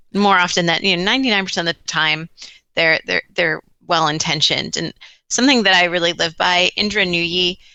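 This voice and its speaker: A woman with an American accent, fairly low in pitch, with ordinary pitch variation. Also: fairly quick pace. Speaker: talent management director. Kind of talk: podcast interview.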